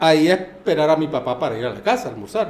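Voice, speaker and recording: A man is speaking here. His intonation is lively. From Panama. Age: 50s. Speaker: boxing official and lawyer. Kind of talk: casual interview chat.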